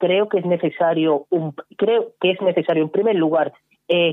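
This is an unremarkable speaking voice. It moves at a moderate pace with ordinary pitch variation. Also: man. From Cádiz province, Andalusia (sierra). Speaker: political commentator. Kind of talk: radio panel discussion.

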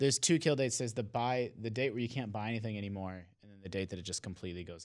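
Barely pausing, a man with a fairly low pitch talks at a very fast pace with ordinary pitch variation and big swings in loudness on a very clean recording with a silent background. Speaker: video game journalist. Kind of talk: casual chat.

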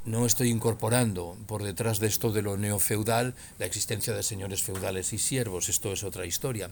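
Speaking at a fairly quick pace with hardly any pauses, a man has an ordinary speaking voice, a fairly low pitch and fairly even intonation. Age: 60s. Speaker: retired political science professor and author. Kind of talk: interview.

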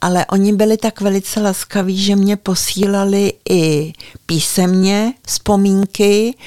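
Her voice has a medium pitch and a dark, mellow tone, and the sound is dry and close with no echo. This woman talks at a very slow pace. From Prague, Czechia. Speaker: local historian and author. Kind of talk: interview. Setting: at her home in the village.

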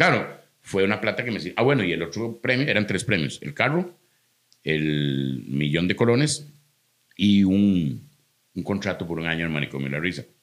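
In a Costa Rican accent, a man with a very deep, low pitch and vocal fry talks at a moderate pace with very wide pitch swings. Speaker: comedian. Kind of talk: casual chat.

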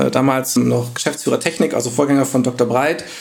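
A man's fairly high voice rattles along at a very fast pace, his intonation lively. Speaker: data science team lead. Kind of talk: podcast interview. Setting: video call.

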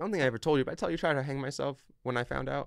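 A man speaks at a very fast pace with vocal fry, on a very clean recording with a silent background. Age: young. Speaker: online entrepreneur. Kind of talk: casual chat.

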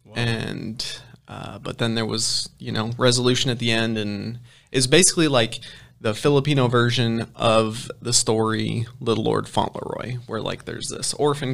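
Speaking with an American accent at a moderate pace, a man has an unremarkable speaking voice, a medium pitch and fairly even intonation. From Ohio. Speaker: running coach and sport nutritionist. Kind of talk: casual interview chat. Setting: in studio with host.

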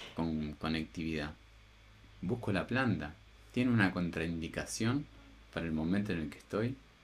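This man's voice is very deep and low, with lively intonation. He keeps a moderate pace broken by long, frequent pauses. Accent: Rioplatense. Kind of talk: casual chat. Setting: at home.

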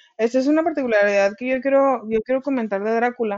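A woman's high voice with ordinary pitch variation. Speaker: literature podcast co-host. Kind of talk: casual chat.

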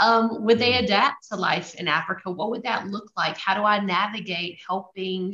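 Medium-pitched female speech in an American accent, moderate in pace with fairly even intonation and hardly any pauses. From US South, Louisiana. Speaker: missionary. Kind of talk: testimony.

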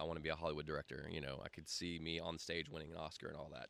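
Very fast and monotone, a man with a Southern US accent talks in a very deep, low pitch with a bright, sharp tone and flat intonation. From US South, Greenville, South Carolina. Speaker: video production company owner. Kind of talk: casual interview.

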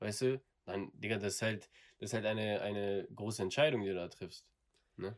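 Pausing long and often, a man talks at a moderate pace and fairly low pitch with fairly even intonation. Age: 20s. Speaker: apprentice plumbing and heating technician. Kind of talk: casual interview.

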